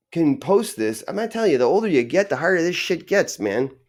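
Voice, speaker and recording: On a very clean recording with a silent background, a man with an American accent speaks with very wide pitch swings. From Arizona (Tucson), early childhood in Indiana. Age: 50s. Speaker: podcaster. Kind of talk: casual monologue. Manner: halting, many fillers and repetitions.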